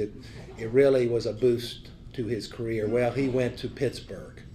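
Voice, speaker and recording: A man with a Southern US accent speaks at a fairly slow pace in a dark, mellow, somewhat breathy voice. His intonation is monotone and flat, with light background noise. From Tennessee. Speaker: former football coach. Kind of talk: speaker introduction. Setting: club meeting. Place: meeting room. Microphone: podium.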